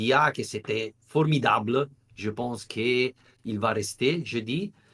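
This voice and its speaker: A man speaks with an Italian accent and ordinary pitch variation. He talks at a very slow pace. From Italy. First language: Italian (speaking French). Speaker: football journalist. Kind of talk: podcast interview. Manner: halting, searching for words.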